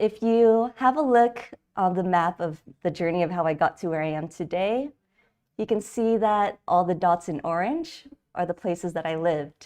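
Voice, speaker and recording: Over a quiet background, a woman with an American accent uses a normal speaking voice at medium pitch, with lively intonation and a moderate pace. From California, US. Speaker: designer and conference speaker. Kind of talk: conference talk. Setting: virtual event.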